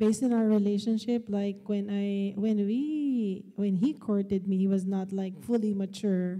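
Her intonation fairly even, a woman speaks with a dark, mellow tone over a quiet background. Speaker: high school teacher and panelist; high school teacher, panelist. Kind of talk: panel discussion. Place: church. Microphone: handheld.

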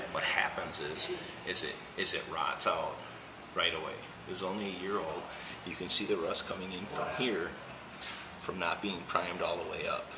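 Against noticeable background noise, a soft-spoken man talks at a moderate pace with long, frequent pauses. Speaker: auto glass installer. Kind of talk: casual demonstration talk to camera. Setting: auto shop. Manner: quiet, soft-spoken. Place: garage. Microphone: phone near.

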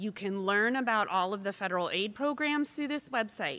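A woman with a fairly high pitch and a bright, sharp tone speaks with lively intonation. The recording is very clean, with a silent background. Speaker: university financial aid officer. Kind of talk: informational presentation. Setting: school auditorium with live audience and livestream. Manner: efficient, brisk pace.

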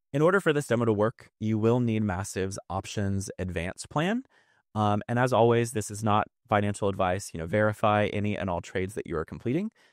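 Recorded dry with no echo against a quiet background, the voice moves at a fairly quick pace with ordinary pitch variation. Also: man, fairly low pitch for a man. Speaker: presenter. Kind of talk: tutorial. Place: home room. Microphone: studio mic.

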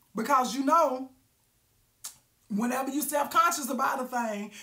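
A woman's high, raised, projected voice, animated in tone, at a moderate pace with ordinary pitch variation, over a quiet background. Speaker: live-stream vlogger. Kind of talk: casual storytelling monologue. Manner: loud. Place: home room. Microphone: phone near.

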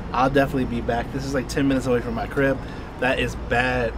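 A man talks at a very fast pace over noticeable background noise, the sound dry with no echo. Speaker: food vlogger. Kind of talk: casual food review chat. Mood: amused, feeling the spice. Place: street.

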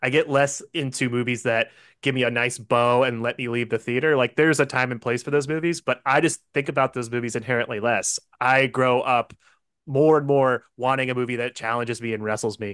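A man at a fairly quick pace with fairly even intonation, dry with no echo, in a quiet background. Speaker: film director. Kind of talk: interview. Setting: video call. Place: home room. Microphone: studio mic.

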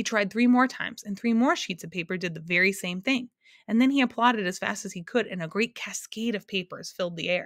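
There is ordinary pitch variation in this natural reading voice.

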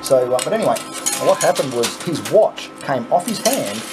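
At a moderate pace, a man speaks. Noticeable background noise can be heard. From Australia. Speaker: YouTuber playing coin pusher game. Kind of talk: casual gameplay commentary; storytelling. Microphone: phone near.

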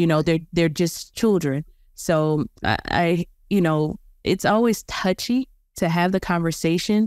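In a normal speaking voice, a woman with a fairly low pitch and ordinary pitch variation talks at a fairly slow pace and very even loudness, in a very clean recording with a silent background and a dry, close sound with no echo. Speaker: podcast host. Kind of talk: casual chat.

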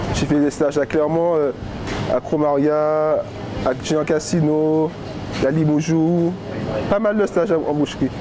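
A man with a fairly high voice speaks as noticeable background noise carries on behind him. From Saint-Martin (Caribbean). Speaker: apprentice butcher. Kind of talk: documentary interview. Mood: relaxed, positive. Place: shop. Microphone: lapel.

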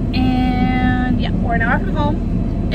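A woman at a very slow pace, dry sound with no echo, music in the background. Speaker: vlogger. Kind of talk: casual vlog chat. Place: car. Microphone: phone near.

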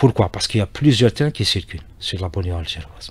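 The man's voice is somewhat breathy, and the sound is dry with no echo. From Algeria. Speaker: railway company executive; radio guest. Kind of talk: radio interview. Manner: halting, many repetitions and hesitations. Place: studio. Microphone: studio mic.

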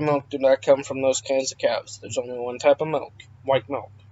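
A man speaks quietly at a moderate pace. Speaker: YouTuber. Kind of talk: vlog storytime. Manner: quiet, subdued.

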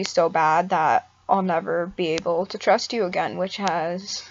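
Over light background noise, a woman talks at a very slow pace with fairly even intonation. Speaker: mental health vlogger. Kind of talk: casual vlog chat. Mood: serious, reflective, subdued. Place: home room. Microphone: webcam.

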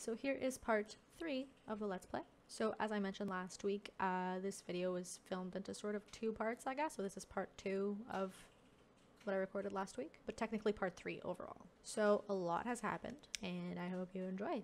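Her pitch varies in an ordinary way as the woman speaks at a moderate pace. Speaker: gaming video creator. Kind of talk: casual let's play commentary. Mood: curious, surprised reactions. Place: home room. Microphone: headset.

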